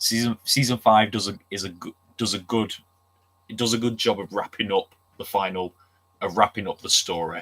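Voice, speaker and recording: A man with a Manchester accent speaks with fairly even intonation, big swings in loudness and long, frequent pauses, in a dry, close sound with no echo. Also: fairly low pitch for a man, moderate pace. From Manchester, England. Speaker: streamer. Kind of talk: casual chat. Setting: livestream.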